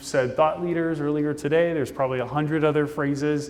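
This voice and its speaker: A man with a Midwestern accent speaks at a fairly high pitch in a room with audible echo. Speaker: conference speaker. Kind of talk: conference talk. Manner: casual.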